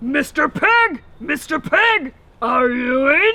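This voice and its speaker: A put-on character voice, high in pitch, with very wide pitch swings. It moves at a very slow pace. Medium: read story.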